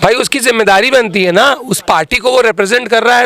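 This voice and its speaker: A raised, projected voice in an animated tone over noticeable background noise. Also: man. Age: 30s. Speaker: politician, parliamentary candidate. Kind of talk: interview.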